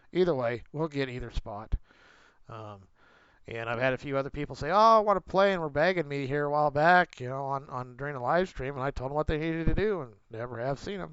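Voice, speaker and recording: A man with an American accent at a very fast pace, with lively intonation. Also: fairly high pitch for a man. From Pennsylvania, York County. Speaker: gaming streamer. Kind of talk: live stream chat. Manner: halting.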